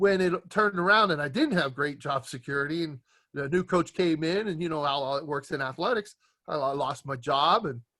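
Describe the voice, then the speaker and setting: In an American accent, a man speaks at a fairly quick pace with a fairly high pitch and ordinary pitch variation. His tone is bright and sharp, on a very clean recording with a silent background. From US Pacific Northwest, Tacoma, Washington. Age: 60s. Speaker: strength and conditioning coach. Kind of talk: interview. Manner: halting, many fillers.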